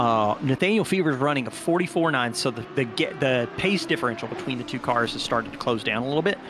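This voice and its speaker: Against noticeable background noise, a man with a Southern US accent talks at a very fast pace in a medium pitch, with lively intonation and hardly any pauses. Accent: Southern US, mild. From US South. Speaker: sim racing commentator. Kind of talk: live commentary.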